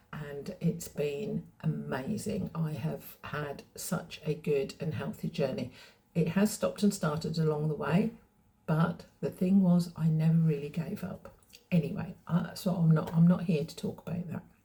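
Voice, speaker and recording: Speaking in an English accent, a woman has a fairly low, somewhat breathy voice with a dark, mellow tone. Her pitch varies in an ordinary way, and her pace is fairly slow. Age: 60s. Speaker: fashion vlogger. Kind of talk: casual vlog talk. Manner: hesitant, with fillers.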